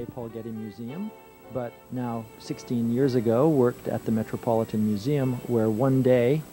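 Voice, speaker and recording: Clear music sits in the background of this dry sound with no echo as a man speaks with fairly even intonation. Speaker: museum photography curator. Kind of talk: speech at an event. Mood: calm, reflective. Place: studio.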